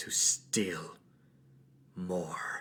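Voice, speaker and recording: A raspy, put-on character voice from a man. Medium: actual play. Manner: terse, broken grammar.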